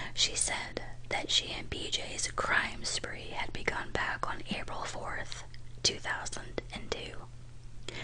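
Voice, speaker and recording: With noticeable background noise around it, a whisper moves at a very slow pace. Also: woman. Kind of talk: true crime ASMR narration. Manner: whispered.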